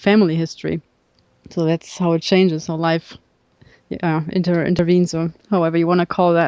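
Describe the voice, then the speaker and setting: A woman with a German accent speaks at a fairly quick pace, her pitch fairly low. Her tone is dark and mellow, over a quiet background. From northern Germany, Kiel. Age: 30s. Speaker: subtitle editor and film historian. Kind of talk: casual chat.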